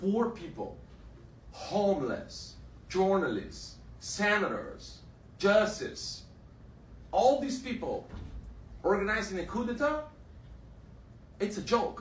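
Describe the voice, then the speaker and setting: A man with a high pitch speaks very slowly, with long, frequent pauses. His intonation is lively, and the room echo is audible. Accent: Brazilian Portuguese. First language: Portuguese. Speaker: exiled journalist. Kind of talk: testimony. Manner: halting.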